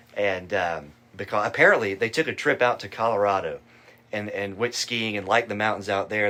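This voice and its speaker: In a Southern US accent, a man speaks at a fairly low pitch with a bright, sharp tone. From Asheville, North Carolina. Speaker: student organization president. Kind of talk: interview.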